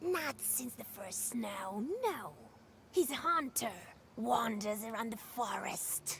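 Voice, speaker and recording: Using a put-on character voice, a woman speaks at a fairly high pitch with lively intonation and big swings in loudness. Her pace is fairly slow, and clear background noise can be heard. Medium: video game. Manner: mocking, evasive.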